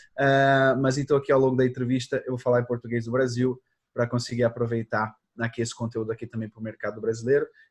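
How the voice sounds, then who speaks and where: Speaking at a very fast pace, a man with a medium pitch and a somewhat breathy voice keeps a monotone, flat intonation in a dry, close sound with no echo. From Portugal. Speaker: social media advertising expert. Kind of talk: interview.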